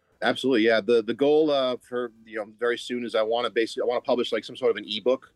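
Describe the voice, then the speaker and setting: A medium-pitched man with an American accent at a very fast pace, monotone and flat in intonation, with hardly any pauses and a dry, close sound with no echo. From Massachusetts. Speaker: bartender and content creator. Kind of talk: casual chat.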